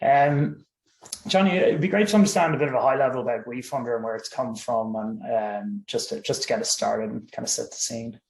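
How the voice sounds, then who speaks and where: With an Irish accent, a man speaks at a fairly quick pace. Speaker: webinar host. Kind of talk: webinar interview.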